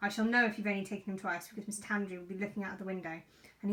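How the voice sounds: A natural reading voice carries fairly even intonation.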